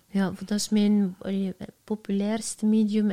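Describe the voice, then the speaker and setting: At a very slow pace, a woman with a Flemish accent speaks at a medium pitch in a monotone, flat intonation, her tone dark, mellow and somewhat breathy. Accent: Flemish Dutch. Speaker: entrepreneur, founder of a social media agency. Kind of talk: casual interview.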